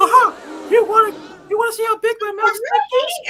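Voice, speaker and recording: At a very fast pace, a put-on character voice speaks at an extremely high pitch. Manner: mocking, crude.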